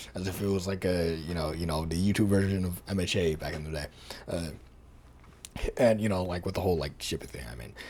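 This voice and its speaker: In a room with audible echo, a man with a very deep, low pitch talks at a very fast pace, using ordinary pitch variation and long, frequent pauses. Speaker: YouTuber. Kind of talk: casual vlog monologue. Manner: halting.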